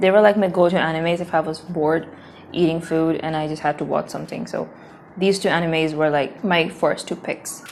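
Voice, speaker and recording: A woman speaks at a fairly quick pace with a fairly low pitch. Her intonation is monotone and flat. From South Asia. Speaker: language learning vlogger. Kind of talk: casual vlog.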